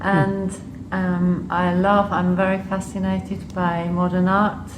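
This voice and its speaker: Amid audible room echo and noticeable background noise, a woman speaks very slowly at medium pitch with monotone, flat intonation. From Switzerland and Liechtenstein. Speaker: public health official. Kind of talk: interview. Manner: hesitant, with fillers.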